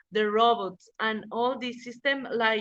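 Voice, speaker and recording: A woman speaks very slowly in a fairly high pitch. Her tone is bright and sharp, with fairly even intonation. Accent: Spanish. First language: Spanish. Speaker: lawyer. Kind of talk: interview. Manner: halting.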